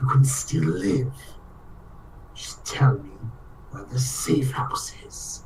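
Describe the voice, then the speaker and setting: Soft-spoken and raspy, a put-on character voice at a low-to-middle pitch carries a menacing tone at a very slow pace with long, frequent pauses over light background noise. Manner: quiet, coaxing, menacing.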